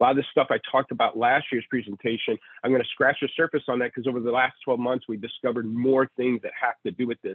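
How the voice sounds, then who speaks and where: A man's medium-pitched voice, very fast with hardly any pauses, in monotone, flat intonation. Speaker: automotive industry presenter. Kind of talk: presentation.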